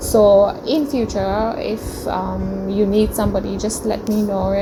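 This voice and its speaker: Noticeable background noise and audible room echo around a woman talking. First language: not English (English is her third language). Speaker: vlogger, international student. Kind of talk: casual vlog narration. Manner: hesitant with frequent fillers (um, uh).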